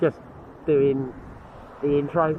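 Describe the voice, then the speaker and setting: A man speaks at a very slow pace. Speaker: magnet fishing vlogger. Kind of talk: casual vlog chat. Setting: outdoors by a canal.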